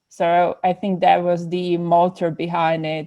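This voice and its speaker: Against a quiet background, a woman with a Czech accent and a fairly low voice speaks very slowly in a dark, mellow tone with fairly even intonation. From Czech Republic. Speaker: psychotherapist. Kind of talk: podcast interview.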